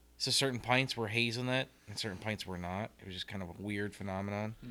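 This man has a bright, sharp tone and a medium pitch. He talks at a fairly quick pace with fairly even intonation. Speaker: homebrew club member. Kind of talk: casual chat.

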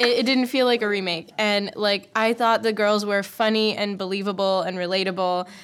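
A medium-pitched woman talks at a moderate pace with fairly even intonation and hardly any pauses. Noticeable background noise runs underneath. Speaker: podcast host, former production worker. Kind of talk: casual chat.

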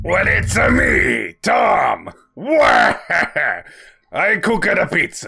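A man's raspy, put-on character voice, very slow with long, frequent pauses, over music in the background. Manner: goofy, cartoonish.

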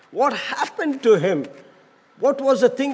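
Noticeable background noise accompanies the man as he talks at a moderate pace. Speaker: pastor. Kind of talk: sermon. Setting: church.

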